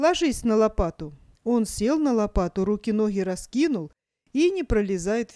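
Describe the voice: Plain reading aloud with lively intonation and a quiet background.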